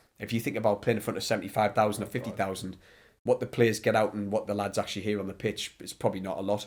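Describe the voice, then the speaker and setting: A man with a northeast English accent speaks very fast in a flat monotone at a fairly low pitch. The recording is very clean, with a silent background. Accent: north-east English. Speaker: ex goalkeeper and goalkeeper coach. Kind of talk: podcast interview. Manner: loud.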